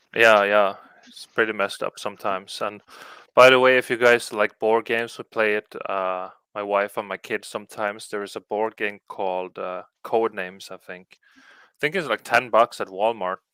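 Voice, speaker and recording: In a Norwegian accent, a man with a fairly low pitch and bright, sharp tone speaks at a moderate pace with fairly even intonation and big swings in loudness, on a very clean recording with a silent background and a dry, close sound with no echo. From Norway. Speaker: video podcast host. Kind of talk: casual chat.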